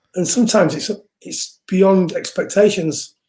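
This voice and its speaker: A man with an English accent talks in a high voice with a dark, mellow tone and ordinary pitch variation. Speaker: music producer and singer. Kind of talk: casual interview chat. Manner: loud speaking voice; animated.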